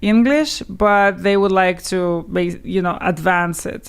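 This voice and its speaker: In a Russian accent, a woman speaks with ordinary pitch variation. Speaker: language teacher. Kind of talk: interview.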